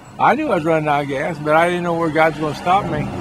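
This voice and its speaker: Both room echo and background noise are noticeable as a man speaks at a high pitch. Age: 60s. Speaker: street preacher. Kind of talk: casual chat. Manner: halting.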